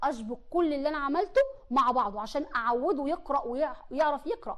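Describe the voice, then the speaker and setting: A woman with an Egyptian accent, high pitch, animated tone, lively intonation and moderate pace, against a quiet background. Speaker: teacher. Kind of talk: tutorial. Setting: studio. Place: studio. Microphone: lapel.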